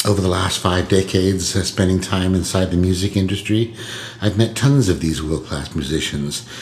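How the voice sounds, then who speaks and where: With noticeable background noise behind him, a man with a very deep, low voice talks at a moderate pace, his loudness very even and his pitch varying in an ordinary way. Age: 70s. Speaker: singer-songwriter. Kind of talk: podcast storytelling monologue. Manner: hesitant, many filler words. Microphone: laptop recording.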